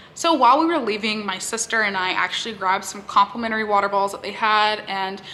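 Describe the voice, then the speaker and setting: Over noticeable background noise, a woman speaks with an American accent. Her pitch is fairly high and her pace fairly quick. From Texas. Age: 20s. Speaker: YouTuber. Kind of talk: casual talk to camera.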